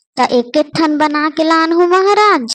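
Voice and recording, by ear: A woman does a cartoonish character voice at an extremely high pitch. She talks at a fairly quick pace.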